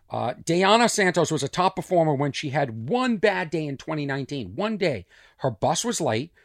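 At a moderate pace, a man with a Boston accent speaks in an animated tone at a fairly high pitch with very wide pitch swings, on a very clean recording with a silent background and a dry, close sound with no echo. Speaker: comedian. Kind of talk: casual monologue, comedic storytelling. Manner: animated, rambling.

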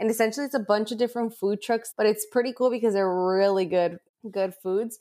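A woman with a normal speaking voice talks in an American accent at a fairly high pitch and a fairly quick pace. Her intonation is fairly even, her loudness very even, and the recording very clean with a silent background. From San Diego, California. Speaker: podcast co-host, recent graduate. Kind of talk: casual chat.

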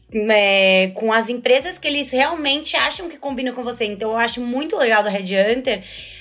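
A high-pitched female voice with ordinary pitch variation, over music in the background. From Brazil, São Paulo city. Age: 20s. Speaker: finance and HR manager. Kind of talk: casual interview.

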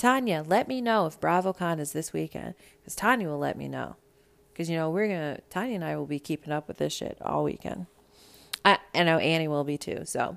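In a very clean recording with a silent background, a woman speaks in an animated tone. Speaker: pop culture podcast host. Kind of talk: casual solo commentary. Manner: fast.

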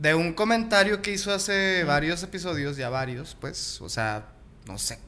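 A man's fairly high voice at a fairly slow pace, with very wide pitch swings, big swings in loudness and audible room echo. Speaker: podcast co-host. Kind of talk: casual chat.

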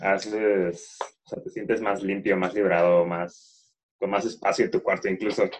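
Speaking at a moderate pace, the man has a Mexican accent. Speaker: podcast co-host. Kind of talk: casual chat.

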